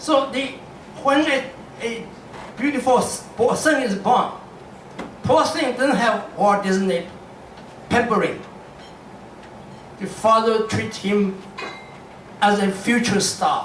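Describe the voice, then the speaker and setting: A man with a Shanghai accent talks at a high pitch and a very slow pace, with long, frequent pauses and ordinary pitch variation. Audible room echo and noticeable background noise fill the recording. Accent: Chinese (Shanghai) accent in English. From China, Shanghai. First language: Chinese. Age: 80s+. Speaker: literature scholar and panelist. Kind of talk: press panel talk. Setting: press event at a club with audience. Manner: halting, many restarts.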